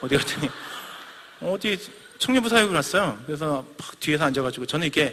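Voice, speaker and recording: Pitch swinging very widely, a man talks at a very fast pace. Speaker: missionary preacher. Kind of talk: sermon.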